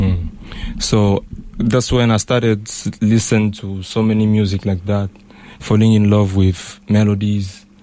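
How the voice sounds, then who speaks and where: A man with a Congolese accent, fairly low-pitched, flat and monotone, at a fairly slow pace. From DR Congo, Bukavu. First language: Lingala. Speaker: R&B artist. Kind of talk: radio interview. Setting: radio studio.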